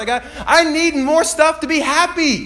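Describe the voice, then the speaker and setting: A man is heard over noticeable background noise. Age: 20s. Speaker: pastor. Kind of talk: sermon. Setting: church. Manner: animated.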